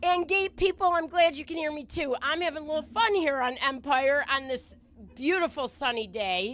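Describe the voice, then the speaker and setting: On a very clean recording with a silent background, a woman speaks loudly and at a fairly quick pace with lively intonation. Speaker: drag strip announcer. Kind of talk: live commentary.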